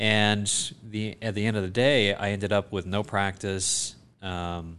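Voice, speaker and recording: An ordinary speaking voice with an American accent and fairly even intonation, over a quiet background. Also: man. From US South, South Georgia. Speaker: foot and ankle surgeon. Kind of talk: casual interview.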